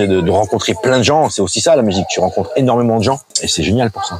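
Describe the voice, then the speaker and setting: The man speaks very fast, with lively intonation. Noticeable background noise runs underneath. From southern France, Antibes/Juan-les-Pins. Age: 50s. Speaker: DJ and bar owner. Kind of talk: casual interview.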